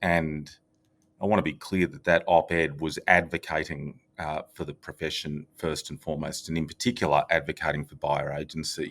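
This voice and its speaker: A man speaks with an Australian accent in a very deep, low pitch. His loudness swings widely. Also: fairly even intonation, moderate pace, very clean recording, silent background. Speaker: real estate company executive. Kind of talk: podcast interview.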